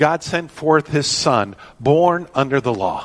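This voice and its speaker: A man with a plain, everyday voice speaks with lively intonation. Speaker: pastor. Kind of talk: sermon.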